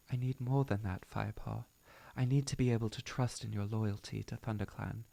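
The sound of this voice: Unforced voice reading aloud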